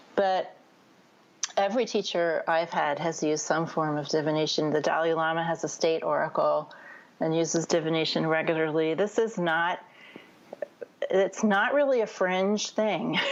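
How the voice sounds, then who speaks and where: This woman has an ordinary speaking voice, pitched fairly low, with ordinary pitch variation. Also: moderate pace, very even loudness. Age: 60s. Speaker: spiritual teacher. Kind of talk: interview.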